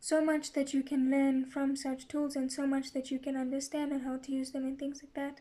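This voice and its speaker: Her pitch is high for a woman, yet her tone is dark and mellow. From Zimbabwe. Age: 20s. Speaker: account manager. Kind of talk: testimony.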